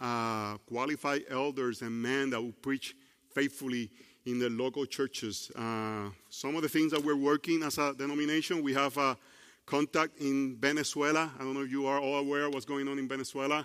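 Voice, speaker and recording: A man with a Puerto Rican accent talks at a moderate pace in a fairly high pitch. His pitch varies in an ordinary way, on a very clean recording with a silent background. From Puerto Rico. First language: Spanish. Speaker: preacher. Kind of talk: sermon. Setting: church. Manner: halting, with grammar slips.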